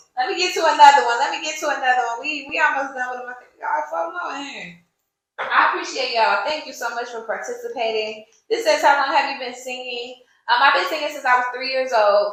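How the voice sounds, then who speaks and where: Lively intonation comes at a very fast pace, with audible room echo around the voice. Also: woman, big swings in loudness. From US military bases (Army family), moved around. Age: 30s. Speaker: podcast host and singer. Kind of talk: casual chat answering audience questions. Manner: animated.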